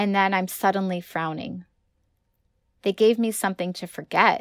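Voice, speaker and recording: With an American accent, the speaker keeps a moderate pace and fairly even intonation. The sound is dry and close with no echo, on a very clean recording with a silent background. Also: woman. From California. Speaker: author and high school English teacher. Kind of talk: reading aloud own short story.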